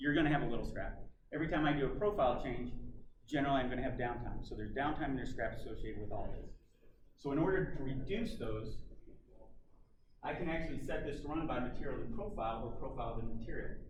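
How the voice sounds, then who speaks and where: A man's fairly high voice, very fast yet broken by long, frequent pauses, with ordinary pitch variation and audible room echo. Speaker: industry technology presenter. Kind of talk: trade show presentation. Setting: conference room with audience.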